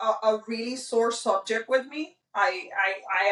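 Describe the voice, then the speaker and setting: A loud woman's voice, fairly high and bright with a sharp tone, at a moderate pace with ordinary pitch variation. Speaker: podcast co-host. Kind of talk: casual chat.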